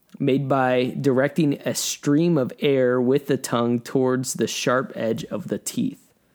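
A man with a normal speaking voice and a medium pitch talks at a fairly slow pace with hardly any pauses. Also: ordinary pitch variation. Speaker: podcast host. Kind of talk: casual chat.

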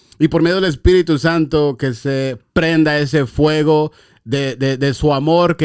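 As the man speaks, his pitch shows ordinary variation. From Los Angeles (San Fernando), Mexican-American. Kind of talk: testimony.

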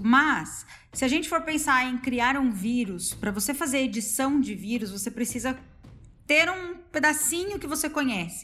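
With lively intonation, a woman speaks in a high pitch and a bright, sharp tone. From Paraná, Brazil. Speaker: virologist, postdoctoral researcher. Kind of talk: casual chat.

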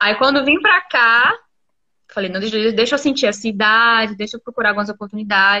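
Bright and sharp, a woman's voice pitched fairly high moves at a moderate pace. Her pitch varies in an ordinary way. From Camaçari, Bahia, Brazil. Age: 20s. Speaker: entrepreneur and mother. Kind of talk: casual chat. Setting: Instagram live stream.

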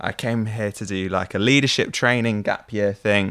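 A man with an unremarkable speaking voice talks at a moderate pace in a fairly low pitch. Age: 20s. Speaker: podcast co-host, young church leader. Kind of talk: casual chat.

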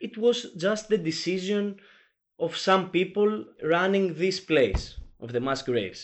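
A man with a Greek accent, his pitch high, his intonation lively, at a fairly slow pace. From Greece. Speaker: journalist. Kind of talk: interview. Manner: halting, many fillers.

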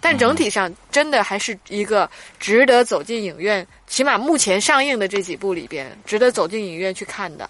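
Noticeable background noise accompanies a woman who speaks at a moderate pace and medium pitch, her pitch swinging very widely. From northern China. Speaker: film critic podcast co-host. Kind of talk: casual chat film review.

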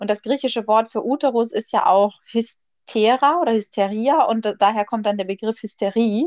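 In a plain, everyday voice, a woman speaks at a moderate pace and a fairly high pitch with ordinary pitch variation, the sound dry and close with no echo. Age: 20s. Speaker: podcast host. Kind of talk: casual chat. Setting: remote call.

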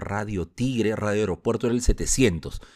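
An unremarkable speaking voice from a man, medium in pitch, at a fairly slow pace, on a very clean recording with a silent background. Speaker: radio announcer and broadcaster. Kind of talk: podcast monologue, scripted narration. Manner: broadcast-announcer delivery.

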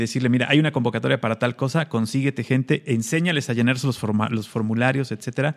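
At a fairly quick pace, a man with a Mexican accent speaks at a medium pitch with fairly even intonation. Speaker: radio co-host. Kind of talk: casual chat. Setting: video call.

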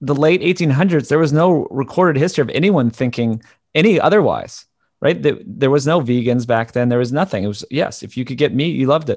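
Fairly high in pitch, a man with an unremarkable speaking voice talks at a fairly quick pace. His intonation is lively, and the background is quiet. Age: 30s. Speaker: documentary filmmaker and podcaster. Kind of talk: interview.

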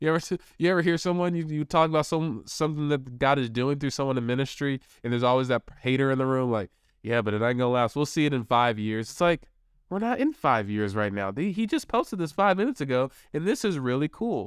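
A man with a fairly high pitch talks at a very fast pace, his tone animated and his intonation lively. The recording is very clean, with a silent background. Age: 30s. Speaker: youth ministry podcaster and evangelist. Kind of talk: pep talk. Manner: earnest, encouraging; animated, preacher-like.

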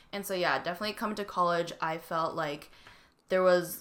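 A woman with a Canadian accent talks at a fairly quick pace in a fairly low pitch. Her intonation stays fairly even, and there is noticeable background noise. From Canada, Vancouver BC. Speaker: student podcast co-host. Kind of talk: casual chat.

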